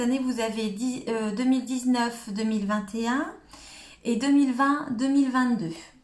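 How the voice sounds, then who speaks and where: A woman speaks at a fairly slow pace in a high voice. Some room echo can be heard. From northern France, Cambrésis. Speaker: crafting demonstrator. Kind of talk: live stream tutorial. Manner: hesitant, many filler words.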